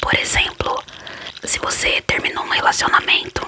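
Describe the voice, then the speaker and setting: Noticeable background noise sits under a whisper delivered at a moderate pace. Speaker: ASMR creator. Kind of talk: ASMR whispered Q&A talk. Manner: whispered.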